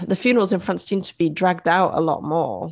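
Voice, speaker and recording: Vocal fry runs through the speech of a woman with an English accent. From England. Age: 30s. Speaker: bereaved mother. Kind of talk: interview.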